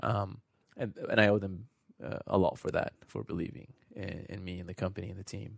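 The voice carries vocal fry. Its intonation is fairly even. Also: man, fairly quick pace. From New Zealand (born in Iran). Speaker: startup founder and CEO. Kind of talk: radio interview. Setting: studio.

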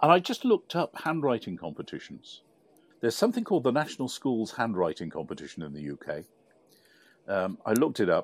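Speaking in a British accent, a man shows big swings in loudness. The recording is very clean, with a silent background. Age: 60s. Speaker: podcast co-host. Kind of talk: casual chat.

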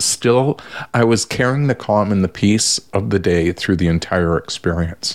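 A man talks at a fairly slow pace in a fairly low pitch, an ordinary speaking voice. The recording is very clean, with a silent background. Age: 60s. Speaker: social worker and family therapist. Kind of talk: casual chat.

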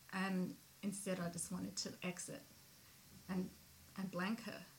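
There is noticeable background noise. A woman speaks at a medium pitch and a fairly slow pace. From migrant to Australia. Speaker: podcast host. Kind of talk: casual chat. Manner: casual, swears freely.

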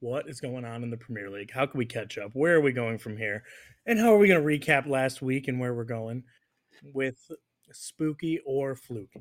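A man with an American accent speaks in a normal speaking voice at a medium pitch and a moderate pace. His delivery has ordinary pitch variation and big swings in loudness. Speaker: soccer podcast host. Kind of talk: casual chat.

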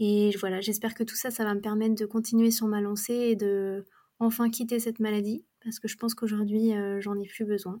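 Her tone is dark and mellow, her intonation monotone and flat. This woman talks at a fairly quick pace. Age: 20s. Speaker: student, abuse survivor sharing her story. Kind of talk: testimony.

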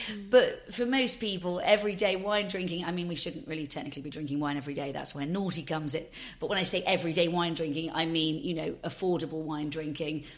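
A fairly low-pitched woman at a very fast pace, with ordinary pitch variation, hardly any pauses and audible room echo. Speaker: drinks company founder. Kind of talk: interview.

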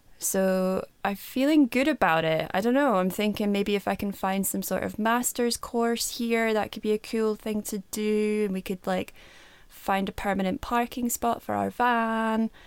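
A woman with a plain, everyday voice and a fairly high pitch talks at a moderate pace with fairly even intonation. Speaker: podcast co-host. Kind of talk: casual chat.

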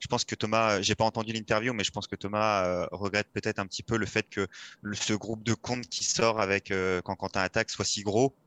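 A man speaks at a fairly quick pace in a fairly low pitch, with a bright, sharp tone and monotone, flat intonation. The sound is dry and close with no echo, over a quiet background. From France, Nièvre (Nevers, Burgundy). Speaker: professional cyclist. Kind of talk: interview.

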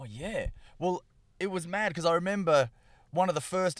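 Heard here is a man with an Australian accent. The recording is very clean, its background silent. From Western Australia (Perth). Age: 30s. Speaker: stand-up comedian. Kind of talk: casual chat.

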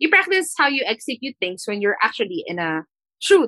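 In a dry, close recording with no echo, a woman's fairly high voice has a bright, sharp tone and very wide pitch swings. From Philippines. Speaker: fashion stylist and entrepreneur. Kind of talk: interview.

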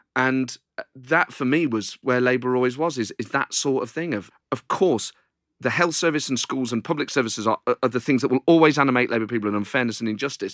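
A man talks very fast at a medium pitch with ordinary pitch variation. The sound is dry and close with no echo. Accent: East Midlands. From Nottingham, England. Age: 40s. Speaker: comedian. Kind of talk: interview.

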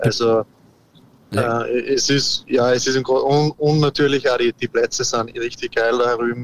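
At a fairly slow pace, a man delivers his words with monotone, flat intonation. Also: medium pitch for a man. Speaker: professional golfer. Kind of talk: interview. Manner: halting, many repetitions.

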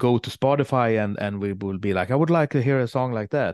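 A man talks with a Swedish accent and ordinary pitch variation. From Sweden. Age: 40s. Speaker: metal guitarist and songwriter. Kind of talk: casual interview.

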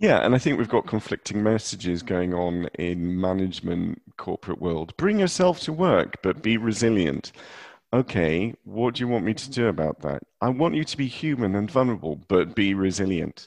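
This man has an ordinary speaking voice, fairly low in pitch, with lively intonation at a moderate pace. The sound is dry and close with no echo, against a quiet background. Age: 40s. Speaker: podcast host. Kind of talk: casual chat. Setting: remote call from a cupboard.

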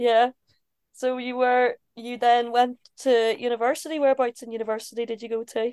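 A high-pitched woman with a Northern Irish accent, monotone and flat, at a moderate pace, with big swings in loudness and a dry, close sound with no echo. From Belfast, Northern Ireland. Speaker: ice hockey player and interviewer. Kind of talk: casual interview. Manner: giggly.

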